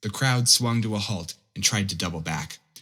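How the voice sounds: The pitch varies in an ordinary way. The delivery is a natural reading voice.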